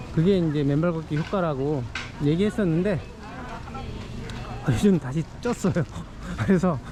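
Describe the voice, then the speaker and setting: The speech comes at a moderate pace. Noticeable background noise runs underneath. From Seoul (Hwagok-dong). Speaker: vlogger. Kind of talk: walking vlog monologue. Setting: outdoors, walking through a market. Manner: casual, with fillers.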